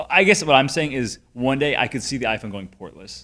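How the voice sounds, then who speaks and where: A man's bright, sharp tone at a fairly quick pace. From Connecticut. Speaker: tech podcast host. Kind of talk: casual conversational podcast chat.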